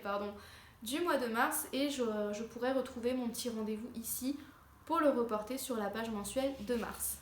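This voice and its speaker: Audible room echo and noticeable background noise surround a woman speaking. Her pitch is fairly high, her intonation fairly even, and her pace moderate. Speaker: lifestyle vlogger. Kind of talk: casual tutorial. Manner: hesitant, many fillers.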